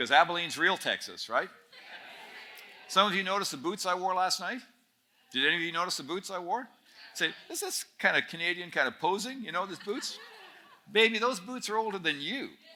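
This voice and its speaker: A man projects a raised voice at a high pitch. He leaves long, frequent pauses. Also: ordinary pitch variation, fairly quick pace. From Northern Ontario, Canada. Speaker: speaker at a student camp. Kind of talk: talk to a student audience. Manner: conversational, humorous storytelling.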